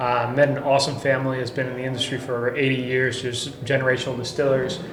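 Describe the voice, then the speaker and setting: Speaking at a very fast pace with a Spanish accent and medium pitch, a man is heard with audible room echo and noticeable background noise. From Costa Rica. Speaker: tequila brand founder. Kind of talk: podcast interview.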